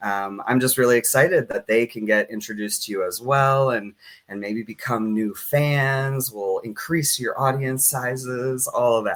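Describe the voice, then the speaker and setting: Here is a man with a plain, everyday voice at a medium pitch. He keeps a moderate pace with ordinary pitch variation. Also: hardly any pauses. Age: 30s. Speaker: community organization director and show host. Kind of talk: live-streamed interview. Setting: live stream.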